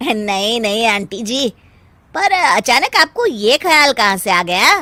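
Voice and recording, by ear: Putting on a cartoonish character voice, a woman speaks at a fairly slow pace. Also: fairly high pitch for a woman.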